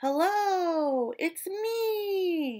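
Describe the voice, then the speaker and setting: A squeaky, extremely high-pitched put-on character voice from a woman. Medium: read story.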